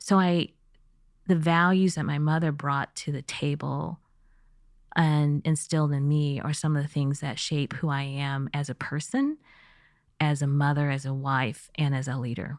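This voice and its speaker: In a General American accent, a woman with a very deep, low pitch speaks at a moderate pace with fairly even intonation. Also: very clean recording, silent background. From US, Missouri and California. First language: Chinese. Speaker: business executive. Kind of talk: podcast interview.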